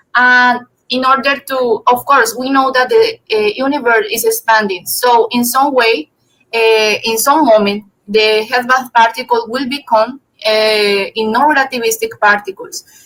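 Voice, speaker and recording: With music in the background, a woman speaks at a high pitch and a fairly slow pace. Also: fairly even intonation. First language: not English. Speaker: physics student presenter. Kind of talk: academic seminar talk. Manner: halting, many fillers.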